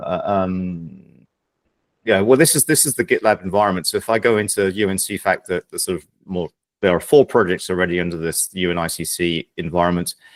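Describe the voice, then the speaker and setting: A man speaks with a very deep, low pitch. His loudness swings a lot, and the sound is dry and close with no echo. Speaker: project meeting chair. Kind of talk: online work meeting. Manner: fast.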